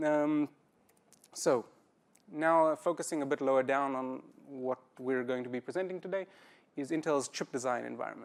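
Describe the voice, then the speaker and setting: With a strong South African accent, the speaker leaves long, frequent pauses. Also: man, fairly high pitch for a man, fairly even intonation, moderate pace. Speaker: system programmer, conference speaker. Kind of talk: conference talk. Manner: halting, many fillers.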